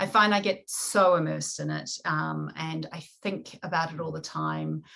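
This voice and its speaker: A woman speaks with a New Zealand accent at a moderate pace. Her loudness swings widely. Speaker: romance novelist. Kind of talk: podcast interview.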